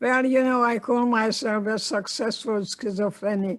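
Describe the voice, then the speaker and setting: Against a very clean, silent background, a woman with a Hungarian accent and a fairly high pitch speaks at a moderate pace. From Hungary. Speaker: Holocaust survivor and psychotherapist. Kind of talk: interview.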